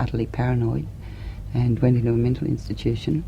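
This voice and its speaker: A woman talks at a fairly quick pace in an Australian accent. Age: 40s. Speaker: political activist. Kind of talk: interview answer.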